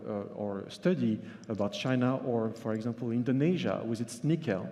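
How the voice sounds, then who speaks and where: In a French accent, a man with a dark, mellow tone talks at a moderate pace and ordinary pitch variation. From France. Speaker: journalist and author. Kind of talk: conference keynote. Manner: halting, with fillers.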